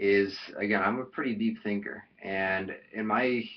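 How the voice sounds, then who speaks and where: In a Chicago accent, a man speaks with fairly even intonation. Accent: Chicago-area American. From US Midwest, Chicago suburbs. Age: 20s. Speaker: vlogger. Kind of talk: casual vlog monologue. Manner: halting, many fillers.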